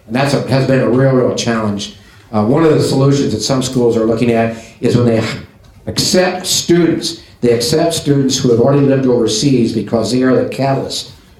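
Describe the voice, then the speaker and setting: With an American accent, a man talks with ordinary pitch variation and very even loudness, amid noticeable background noise and audible room echo. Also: medium pitch for a man, fairly quick pace. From US Midwest. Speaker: business association president. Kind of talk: closing remarks at a business event.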